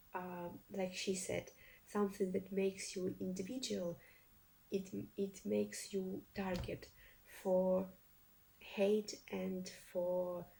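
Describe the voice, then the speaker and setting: Speaking with a Russian accent, a woman with a medium pitch and a dark, somewhat breathy, mellow tone talks at a very slow pace in a monotone, flat intonation, with long, frequent pauses. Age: young. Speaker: reaction video youtuber. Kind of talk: casual commentary to camera. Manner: halting, many fillers and restarts.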